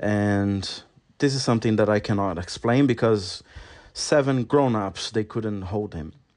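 With a Brazilian accent, a man speaks at a fairly slow pace in a fairly low pitch with ordinary pitch variation against a quiet background. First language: Portuguese. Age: 40s. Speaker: podcast host. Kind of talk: solo podcast monologue. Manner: halting.

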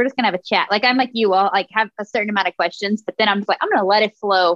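In a dry, close recording with no echo, a woman with an American accent speaks at a medium pitch with ordinary pitch variation, a plain, everyday voice. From Texas. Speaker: podcast host and artist. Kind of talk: casual chat.

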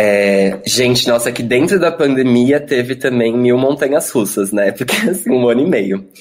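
A man talks with hardly any pauses. Background noise is noticeable. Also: medium pitch for a man, ordinary pitch variation, moderate pace. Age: 20s. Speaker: drag performer. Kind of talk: casual chat. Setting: video call. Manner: animated.

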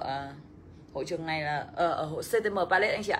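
A woman talks at a very fast pace. Her tone is animated. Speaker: financial education coach. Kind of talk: livestream seminar. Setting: livestream.

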